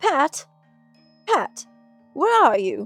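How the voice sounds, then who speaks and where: Someone performs a put-on character voice while faint music plays in the background. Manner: angry.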